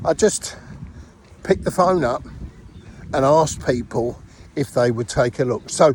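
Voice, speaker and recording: With a British accent, a man talks using lively intonation. He leaves long, frequent pauses. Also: medium pitch for a man, moderate pace. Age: 60s. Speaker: network marketing distributor. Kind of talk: casual tutorial.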